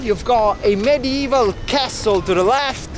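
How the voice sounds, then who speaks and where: A man speaks fairly slowly with an Italian accent. His pitch varies in an ordinary way, and background noise is noticeable. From Italy. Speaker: travel vlogger. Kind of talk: travel vlog narration. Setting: outdoors.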